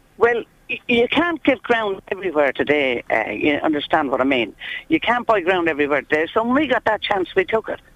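Her voice at medium pitch with vocal fry, a woman moves at a fairly quick pace through very wide pitch swings. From England, born in Ireland. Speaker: traveller resident. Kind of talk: interview.

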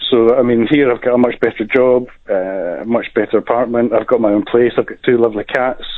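A plain, everyday voice from a man, medium in pitch, at a fairly quick pace. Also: fairly even intonation. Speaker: caller. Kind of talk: casual chat. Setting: phone call.

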